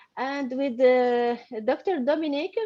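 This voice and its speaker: A woman with a high pitch and a dark, mellow tone talks at a fairly slow pace with ordinary pitch variation. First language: not English (studied in French). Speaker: paediatrician and course student. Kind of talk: interview. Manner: halting.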